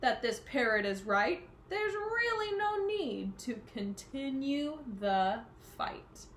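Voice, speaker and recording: A woman bellows in a put-on character voice, high-pitched with very wide pitch swings, at a fairly slow pace over clear background noise. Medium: read story. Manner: roaring.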